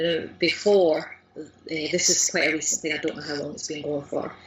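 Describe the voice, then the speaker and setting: Through noticeable background noise, a woman talks at a moderate pace. Her pitch is fairly low and her intonation fairly even. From Lanarkshire, near Glasgow, Scotland. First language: Scots. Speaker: language learner, blogger, course creator. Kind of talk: interview answer.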